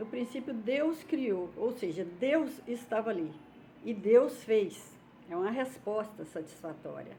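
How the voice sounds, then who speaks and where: A woman's fairly high, somewhat breathy voice at a very slow pace, with lively intonation, long, frequent pauses and audible room echo. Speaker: YouTuber, religious commentator. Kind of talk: casual vlog talk. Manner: informal, hesitant.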